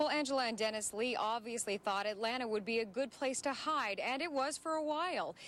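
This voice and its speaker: With lively intonation, a woman talks in a normal speaking voice. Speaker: TV news anchor. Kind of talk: TV news read.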